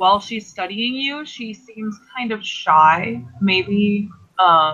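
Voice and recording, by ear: A natural voice, reading aloud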